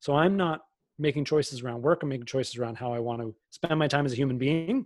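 A man talks at a fairly quick pace in a normal speaking voice, his pitch fairly high. The recording is very clean with a silent background and a dry, close sound with no echo. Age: 30s. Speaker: business expert and keynote speaker. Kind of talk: interview.

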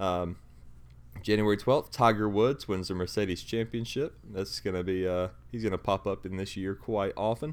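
A man with a fairly low pitch talks at a moderate pace in an ordinary speaking voice, with ordinary pitch variation. The recording is very clean, with a silent background. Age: 20s. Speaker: sports podcast host. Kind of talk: casual chat.

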